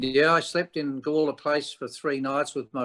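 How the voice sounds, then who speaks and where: The voice, in an Australian accent, comes through on a very clean recording with a silent background, the sound dry and close with no echo. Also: man. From South Australia (Adelaide). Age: 70s. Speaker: rock musician. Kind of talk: interview. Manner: halting.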